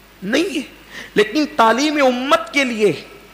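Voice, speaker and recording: A man talks with lively intonation. Noticeable background noise runs behind him. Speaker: Islamic preacher. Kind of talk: religious sermon (bayan).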